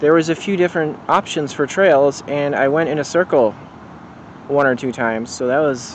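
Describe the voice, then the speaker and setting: The speaker talks at a moderate pace with ordinary pitch variation. The sound is dry with no echo, and there is light background noise. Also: man. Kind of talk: casual vlog chat. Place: forest. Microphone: phone near.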